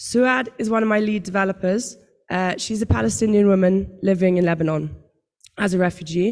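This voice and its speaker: With a British accent, a woman at medium pitch speaks at a moderate pace. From United Kingdom. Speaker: tech company founder, panelist. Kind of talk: panel talk. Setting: stage with audience.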